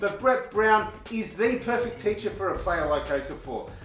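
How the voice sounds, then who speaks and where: This man has an Australian accent and a high pitch, speaking at a moderate pace. Music plays behind him, and the room echo is audible. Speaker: basketball video presenter. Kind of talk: sports commentary vlog.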